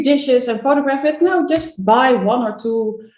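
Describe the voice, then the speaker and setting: A woman talks at a moderate pace with a Dutch accent. Her pitch varies in an ordinary way. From Netherlands. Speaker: food photographer and business coach. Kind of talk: podcast interview. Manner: halting, searching for words.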